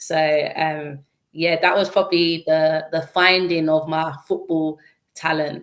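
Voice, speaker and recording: A woman's fairly low voice in a London accent, fairly slow and monotone with flat intonation. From East London. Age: 20s. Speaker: former footballer and youth mentor. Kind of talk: interview.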